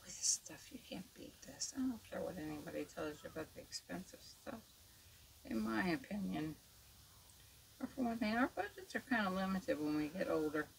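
A woman mumbling at a moderate pace, with big swings in loudness and light background noise. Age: 70s. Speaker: makeup artist; makeup tutorial host. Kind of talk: tutorial. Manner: casual, chatty. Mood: chatty, reflective. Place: home room. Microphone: studio mic.

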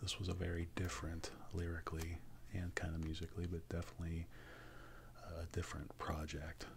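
This quiet speaker moves at a fairly quick pace but leaves long, frequent pauses. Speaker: ASMR creator, music fan. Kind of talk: quiet ASMR show-and-tell of vinyl records, casual talk to camera. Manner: quiet, mellow.

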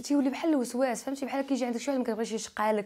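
A woman talking at a very fast pace, dark, mellow tone, fairly even intonation, over a quiet background. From Morocco. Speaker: YouTuber; interviewee. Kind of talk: interview. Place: studio. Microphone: lapel.

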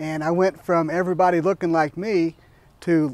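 Speaking at a high pitch with a Midwestern American accent, a man shows ordinary pitch variation in a dry sound with no echo. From US Midwest, southern Iowa. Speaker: podcast co-host; interviewee. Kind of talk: personal introduction monologue; interview answer. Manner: hesitant, many filler words. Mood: warm, reflective. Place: garden. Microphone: lapel.

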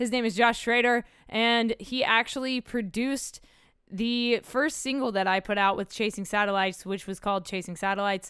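This woman has an ordinary speaking voice, fairly high in pitch, with fairly even intonation at a moderate pace. The recording is very clean, with a silent background. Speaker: podcast host and musician. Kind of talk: casual interview conversation.

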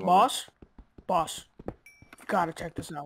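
In a put-on character voice, the speaker talks fairly slowly at a middle pitch. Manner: urgent, dramatic.

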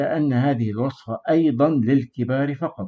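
A man talks in an ordinary speaking voice at medium pitch. His pace is fairly slow, with ordinary pitch variation. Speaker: herbal remedies channel host. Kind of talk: scripted narration. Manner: formal.

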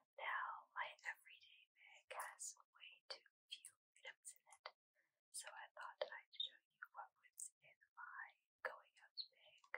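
Whispering from a woman at a very slow pace. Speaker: ASMR creator. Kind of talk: ASMR show-and-tell. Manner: whispered. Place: home room.

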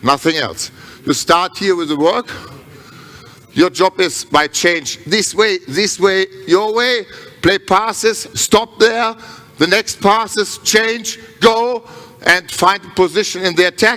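Speaking at a very slow pace, a man uses a raised, projected voice. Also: ordinary pitch variation. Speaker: handball coach. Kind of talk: coaching instruction. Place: hall. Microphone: headset.

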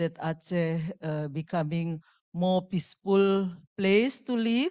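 A woman speaks fairly slowly at a fairly low pitch, with ordinary pitch variation. It is a plain, everyday voice, set against a quiet background. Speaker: speaker. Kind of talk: lecture. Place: hall.

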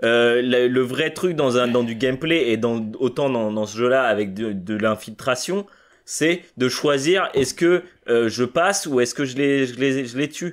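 Against a quiet background, a man speaks at a fairly slow pace. His medium-pitched voice shows ordinary pitch variation. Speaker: podcast co-host. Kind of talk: casual chat. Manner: halting. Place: home room.

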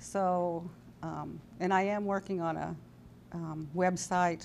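Over light background noise, a woman with an American accent speaks in a fairly low pitch and a dark, mellow tone, her intonation monotone and flat. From California. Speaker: daughter of entertainers, speaker and writer. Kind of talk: interview. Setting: fan convention. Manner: hesitant with many fillers. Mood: warm, relaxed, smiling. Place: studio. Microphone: lapel.

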